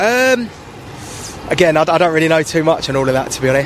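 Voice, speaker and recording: A man with a London accent in a dry sound with no echo, over light background noise. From South London, Jamaican parents. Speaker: office worker. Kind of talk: street interview. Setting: outdoors. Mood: relaxed, slightly unsure. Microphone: handheld.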